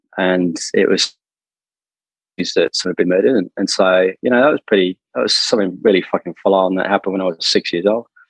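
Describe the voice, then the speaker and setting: With an Australian accent, a man talks at a fairly quick pace with fairly even intonation, the sound dry and close with no echo. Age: 40s. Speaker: interview guest sharing life story. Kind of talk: personal testimony in interview. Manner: halting, many fillers.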